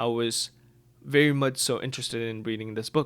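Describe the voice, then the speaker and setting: A man at a moderate pace with fairly even intonation on a very clean recording with a silent background. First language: not English. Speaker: book reviewer / video creator. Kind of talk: casual vlog monologue. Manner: hesitant, filler-heavy.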